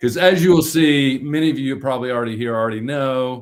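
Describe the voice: A man at medium pitch, fairly quick in pace, with fairly even intonation.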